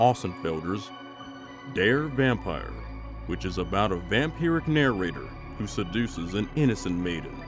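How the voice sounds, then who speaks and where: A man talks at a moderate pace in a fairly low pitch, his voice making very wide pitch swings over music in the background. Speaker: narrator. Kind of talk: documentary-style folklore narration.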